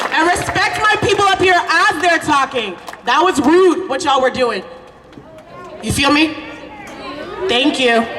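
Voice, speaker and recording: Noticeable background noise runs through the clip. The speech has long, frequent pauses. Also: fairly slow pace. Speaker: city parks and recreation worker. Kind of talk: crowd announcement. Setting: outdoor rally with crowd. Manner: loud, firm.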